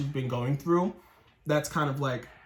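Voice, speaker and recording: Somewhat breathy and fairly high-pitched, a man speaks with fairly even intonation. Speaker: tarot reader. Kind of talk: tarot reading. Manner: casual; fast.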